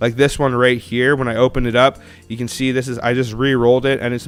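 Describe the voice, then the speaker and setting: A man's very fast, monotone, flat delivery over music in the background. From Canada. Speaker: coin collecting streamer. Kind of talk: live stream casual chat. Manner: casual, chatty.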